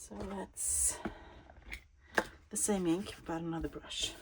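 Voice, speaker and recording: Noticeable background noise sits behind this recording of a woman. She speaks with a Swedish accent at a very slow pace. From Sweden. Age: 50s. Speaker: crafting YouTuber. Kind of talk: casual craft-along chat. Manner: halting.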